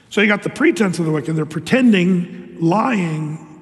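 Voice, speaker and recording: A man's high, lively-toned voice at a moderate pace over noticeable background noise. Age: old. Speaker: pastor. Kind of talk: sermon. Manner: animated.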